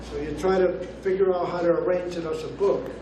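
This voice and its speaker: There is noticeable background noise and audible room echo as a man speaks in a high pitch. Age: 70s. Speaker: poet. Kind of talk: poetry reading introduction. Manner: halting.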